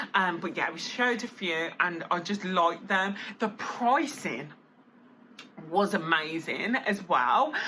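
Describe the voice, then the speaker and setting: Noticeable background noise sits behind a woman speaking at a fairly slow pace. Her medium-pitched voice has lively intonation. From Birmingham, England. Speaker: vlogger. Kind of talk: casual vlog talk. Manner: chatty, filler-heavy.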